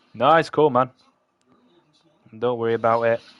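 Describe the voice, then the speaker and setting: With a Yorkshire accent, a man talks at a medium pitch. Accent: Yorkshire, throws people off. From Yorkshire, northern England. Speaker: livestreamer building model kits. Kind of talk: casual chat with live chat while building. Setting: live stream. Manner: casual, chatty.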